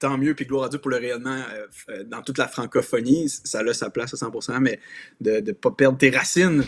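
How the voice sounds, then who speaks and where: In a dry, close sound with no echo and a silent background on a very clean recording, a man talks at a fairly quick pace with a fairly high pitch and ordinary pitch variation. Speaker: guest. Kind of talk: casual conversation. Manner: hesitant, many repetitions and fillers.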